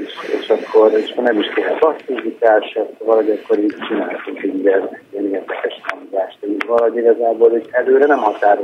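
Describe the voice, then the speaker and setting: Background noise is clearly audible. The talking proceeds at a moderate speed. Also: man. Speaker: songwriter and band member. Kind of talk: phone interview. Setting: phone call. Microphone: quiet phone line.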